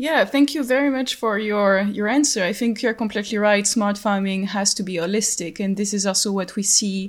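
The speaker has a French accent and ordinary pitch variation. The pace is fairly quick. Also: woman. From France. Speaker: podcast host for a research project. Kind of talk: interview. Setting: online call.

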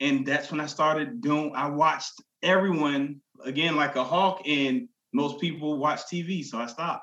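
This man has an unremarkable speaking voice, a fairly high pitch with ordinary variation, and a moderate pace. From New Jersey (Jersey City). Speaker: customer service agent and author. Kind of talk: life story interview.

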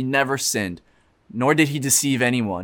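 A man with a medium pitch and a normal speaking voice talks at a fairly quick pace on a very clean recording with a silent background. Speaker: youth pastor. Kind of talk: sermon.

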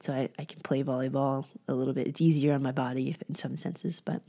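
Very fast and in an American accent, a woman talks with a very deep, low pitch, a dark, mellow tone, vocal fry and ordinary pitch variation. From California, San Francisco Bay Area. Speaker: physical therapist, podcast co-host. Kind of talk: casual interview chat.

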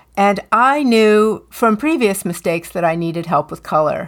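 A woman's ordinary speaking voice, with lively intonation at a fairly slow pace, on a very clean recording with a silent background. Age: 50s. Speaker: color consultant and podcast co-host. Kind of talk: casual chat.

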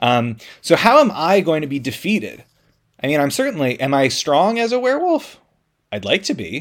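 Animated in tone, a man speaks at a fairly high pitch and a moderate pace, his voice making very wide pitch swings. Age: 30s. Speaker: solo podcast host. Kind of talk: casual solo monologue.

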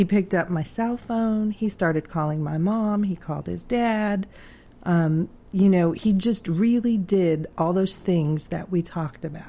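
Recorded very cleanly against a silent background, a woman speaks fairly slowly in a somewhat breathy, dark, mellow voice of medium pitch. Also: ordinary pitch variation. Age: 40s. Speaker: aneurysm survivor sharing health story. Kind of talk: personal testimony in interview.

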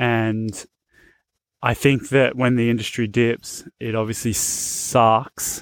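In an Australian accent, a man speaks very slowly with a flat, monotone delivery. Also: medium pitch for a man. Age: 30s. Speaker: BMX podcast host. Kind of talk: casual solo podcast talk. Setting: on location at family's place. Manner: relaxed, filler-heavy.

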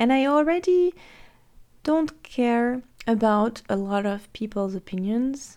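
Speaking very slowly, a woman uses a French accent. Her fairly high voice carries lively intonation. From France. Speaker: life coach. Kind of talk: solo podcast monologue.

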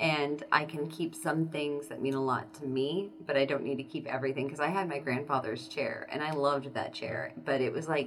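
A woman with an American accent speaks at a fairly quick pace with hardly any pauses, her very deep, low pitch held to fairly even intonation. Audible room echo and noticeable background noise fill the recording. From Southeast Kansas. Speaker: podcast co-host. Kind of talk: casual chat.

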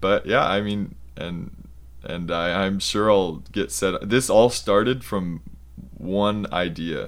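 This man has a very deep, low pitch and vocal fry, and his intonation is lively. He talks at a very slow pace. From US Southwest (Arizona). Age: 20s. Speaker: university student. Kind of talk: interview. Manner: halting, many fillers.

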